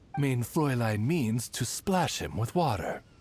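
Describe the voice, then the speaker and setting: The speaker puts on a character voice at a low-to-middle pitch. The pace is fairly slow. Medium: video game. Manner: courtly, formal.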